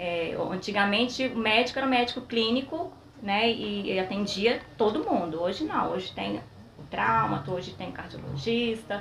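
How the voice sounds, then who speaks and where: Noticeable background noise and audible room echo fill the recording. A woman speaks at a moderate pace with a fairly high pitch and lively intonation. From Espírito Santo, Brazil (São Mateus). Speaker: physiotherapist. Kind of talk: interview. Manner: soft-spoken.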